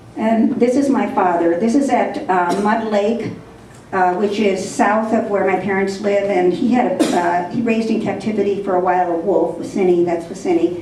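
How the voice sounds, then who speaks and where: Amid audible room echo and noticeable background noise, a woman talks at a moderate pace and medium pitch, with ordinary pitch variation and very even loudness. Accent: Upper Midwest. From northern Minnesota, Ely. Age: 60s. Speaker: conservationist speaker. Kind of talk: presentation. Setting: lodge with audience.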